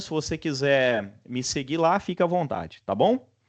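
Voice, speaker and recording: With a strong Minas Gerais accent, a man talks at a moderate pace, his intonation lively against a quiet background. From Brazil, Minas Gerais. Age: 40s. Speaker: university lecturer. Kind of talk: online class introduction. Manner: casual, relaxed.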